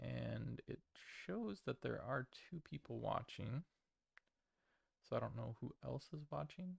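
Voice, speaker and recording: A man mumbles in a dry, close sound with no echo. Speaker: streamer opening trading cards. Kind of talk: live stream product opening. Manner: mumbling; halting, many fillers.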